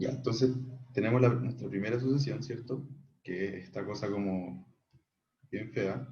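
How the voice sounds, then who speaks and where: Somewhat breathy speech, broken by long, frequent pauses, comes with audible room echo. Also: man, medium pitch for a man, ordinary pitch variation, moderate pace. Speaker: math tutor. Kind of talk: online tutorial. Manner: casual, many fillers.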